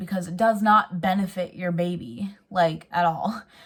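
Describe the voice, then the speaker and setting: A woman's somewhat breathy voice, fairly slow and fairly even in intonation. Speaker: lifestyle vlogger. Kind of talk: casual vlog talk. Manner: hesitant, many fillers.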